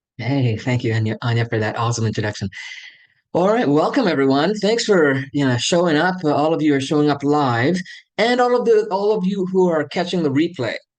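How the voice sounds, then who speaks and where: The man's fairly high voice swings very widely in pitch while his loudness stays very even. He talks at a fairly quick pace against a quiet background. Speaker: hypnotherapist and business speaker. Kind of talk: webinar keynote talk. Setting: video call.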